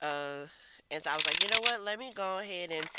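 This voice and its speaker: A woman with a very deep, low pitch talks at a fairly quick pace over noticeable background noise. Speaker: tarot reader. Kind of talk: collective tarot reading.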